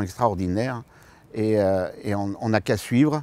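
A man with a fairly low pitch and a dark, mellow tone speaks fairly slowly. The sound is dry, with no echo. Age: 60s. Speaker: future permanent deacon, retired civil servant. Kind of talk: personal testimony interview. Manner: hesitant, many fillers. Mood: warm, smiling, calm. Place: garden. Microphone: lapel.

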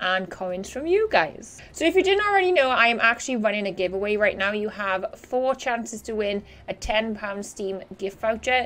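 This woman's pitch swings very widely. She keeps a moderate pace. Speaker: gaming youtuber. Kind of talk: casual gameplay commentary. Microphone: studio mic.

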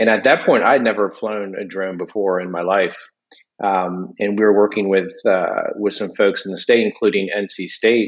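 Against a quiet background, a man talks at a moderate pace in a fairly low voice. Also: fairly even intonation. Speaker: civil engineer and drone program manager. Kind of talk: casual interview. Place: home room. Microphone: video call.

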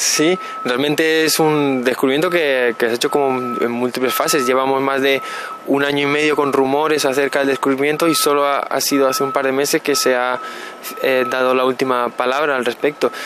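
The intonation stays fairly even against noticeable background noise. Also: man, fairly quick pace, very even loudness, dry sound with no echo. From Canary Islands (Las Palmas), born in Burgos. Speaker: particle physicist. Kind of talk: interview. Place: waterside. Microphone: handheld.

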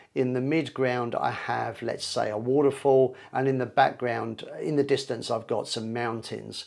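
In quiet surroundings, a man is talking. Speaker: photography teacher. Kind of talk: tutorial. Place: home room. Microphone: lapel.

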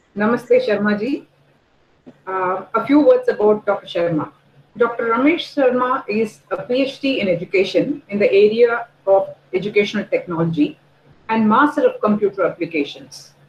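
Audible room echo and light background noise surround a woman with a fairly high pitch speaking at a moderate pace. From India. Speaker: dean; host introducing the speaker. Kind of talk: reading a speaker bio. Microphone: video call.

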